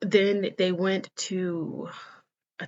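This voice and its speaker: A woman's voice at a medium pitch. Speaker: student presenter. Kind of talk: slideshow presentation. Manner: fast.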